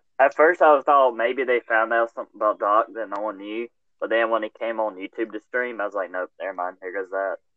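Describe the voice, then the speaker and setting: With a plain, everyday voice, a man speaks at a medium pitch and a fairly quick pace, his pitch varying in an ordinary way. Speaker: podcast host. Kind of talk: casual chat. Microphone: poor mic, quiet and muffled.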